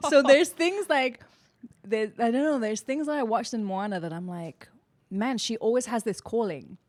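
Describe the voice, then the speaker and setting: A woman with a London accent speaks at a fairly high pitch, her voice making very wide pitch swings and big swings in loudness. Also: moderate pace. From inner city London, England. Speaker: actress. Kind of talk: casual chat.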